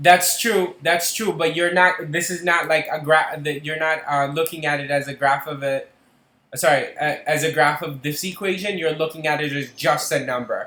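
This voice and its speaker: Bright and sharp in tone, a man speaks at a moderate pace with a fairly high pitch and fairly even intonation. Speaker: math tutor. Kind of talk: tutoring session. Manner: halting, many fillers.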